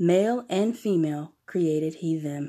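Speaking at a fairly slow pace, a woman has a solemn tone that is also dark and mellow. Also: very clean recording, silent background. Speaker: podcast host. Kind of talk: scripture reading aloud. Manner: measured, solemn, reverent reading pace.

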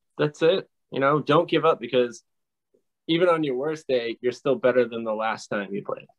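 Medium-pitched male speech with ordinary pitch variation, in a normal speaking voice. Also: moderate pace. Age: 30s. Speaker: guitarist. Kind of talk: interview.

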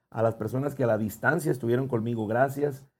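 A man speaks at medium pitch with ordinary pitch variation. He has a plain, everyday voice. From Ciudad Obregón, Sonora, Mexico. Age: 30s. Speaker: singer. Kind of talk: casual chat.

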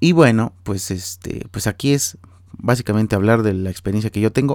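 A man with a Mexican accent speaks in a fairly low, dark, mellow tone with lively intonation, in a very clean recording with a silent background. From Mexico. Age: 30s. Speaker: podcast host, architect. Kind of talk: solo podcast monologue, casual.

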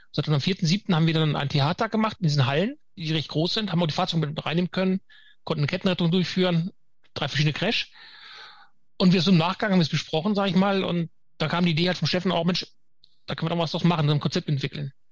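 Speaking at a very fast pace, a man with a high pitch keeps his intonation fairly even. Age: 50s. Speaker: firefighter trainer. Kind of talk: interview. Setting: video call.

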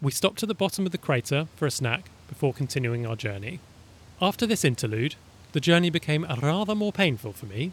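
The man has a fairly high pitch and sounds somewhat breathy. His pitch swings very widely at a fairly quick pace. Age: 30s. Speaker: travel podcaster. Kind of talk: reading aloud travel diary.

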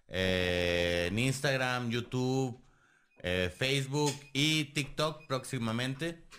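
A man's bright, sharp voice with a Mexican accent. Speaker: history podcast host. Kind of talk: casual chat.

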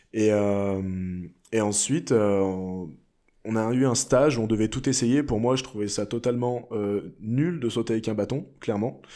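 With a normal speaking voice and ordinary pitch variation, the speaker is heard on a very clean recording against a silent background. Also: man, medium pitch for a man. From France. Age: 20s. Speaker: pole vaulter. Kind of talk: interview.

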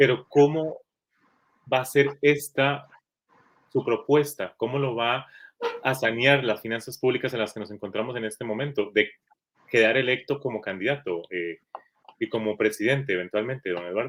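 The delivery moves at a moderate pace with ordinary pitch variation. Long pauses come often. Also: man, medium pitch for a man. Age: 30s. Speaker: interviewer, editor. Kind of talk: political interview.

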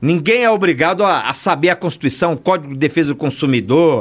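Ordinary pitch variation marks this man's voice. He talks very fast. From São Paulo, East Zone (Bahian family). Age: 60s. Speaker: criminal lawyer and pastor. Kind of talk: casual chat. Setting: studio.

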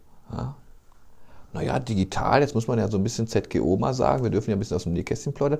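A man with a dark, mellow tone and vocal fry talks at a very fast pace, using lively intonation and long, frequent pauses. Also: medium pitch for a man. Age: 50s. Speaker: podcast host, newspaper journalist. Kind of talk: casual chat.

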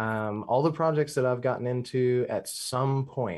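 Against a quiet background, a man with an American accent has a normal speaking voice, medium pitch and ordinary pitch variation. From Louisiana, US South. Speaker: podcast panelist. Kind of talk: casual chat.

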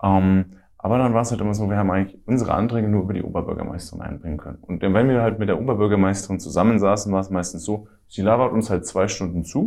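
Talking at a very fast pace, a man uses a fairly low voice with a dark, mellow tone. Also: fairly even intonation. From Middle Franconia, Bavaria (Ansbach). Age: 20s. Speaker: student and youth party activist. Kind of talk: interview.

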